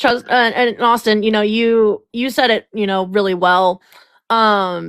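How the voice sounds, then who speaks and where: An ordinary speaking voice at a fairly slow pace, fairly even intonation, very clean recording, silent background. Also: woman, fairly high pitch for a woman. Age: 20s. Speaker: podcast host. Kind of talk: casual chat.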